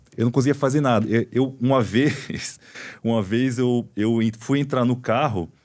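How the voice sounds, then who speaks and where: A man at medium pitch, fairly slow in pace, with fairly even intonation. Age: 40s. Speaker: orthopedic doctor, podcast host. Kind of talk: casual interview chat. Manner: conversational, hesitant with repetitions.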